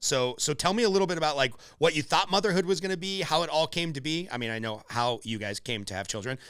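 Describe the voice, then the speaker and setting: Over a silent background in a very clean recording, a man with an American accent speaks very fast at a fairly high pitch, his voice showing vocal fry and very wide pitch swings. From Los Angeles, California. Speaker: podcast host. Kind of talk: podcast interview. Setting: call.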